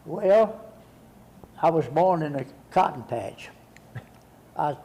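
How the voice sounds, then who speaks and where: A man talks at a fairly slow pace with a Texan accent and ordinary pitch variation. Noticeable background noise runs under his voice. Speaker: war veteran. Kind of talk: interview. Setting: studio. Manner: halting.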